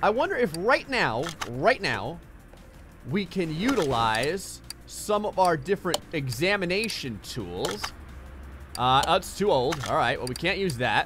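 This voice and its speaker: The speech comes in an American accent at a fairly slow pace. Music plays in the background. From New Jersey. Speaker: gaming YouTuber. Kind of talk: gameplay commentary. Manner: casual, conversational.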